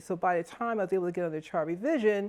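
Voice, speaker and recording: A woman speaks in an unremarkable speaking voice at a medium pitch. Her pitch varies in an ordinary way. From Stamford, Connecticut (US Northeast). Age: 60s. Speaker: charter revision commission member. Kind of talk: testimonial interview. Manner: conversational with filler words.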